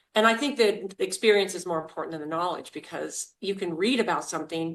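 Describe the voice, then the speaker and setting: A woman with a plain, everyday voice, medium pitch, ordinary pitch variation and an American accent, at a fairly quick pace. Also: hardly any pauses, big swings in loudness. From US, rural Idaho. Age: 60s. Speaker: master herbalist. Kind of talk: interview.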